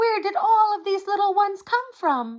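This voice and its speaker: This woman uses a squeaky, put-on character voice. Its pitch is extremely high, and her pace stays moderate. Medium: read story.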